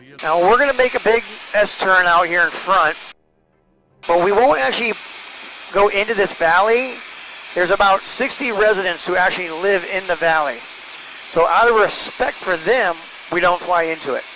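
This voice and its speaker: Using a raised, projected voice, a man talks at a moderate pace with ordinary pitch variation and long, frequent pauses, the sound dry with no echo and light noise behind him. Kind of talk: tour guide commentary. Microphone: headset.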